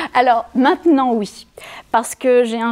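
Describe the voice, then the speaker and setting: A woman at a fairly slow pace. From France, Savoie. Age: 40s. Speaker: improv theatre director. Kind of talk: interview. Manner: hesitant; animated.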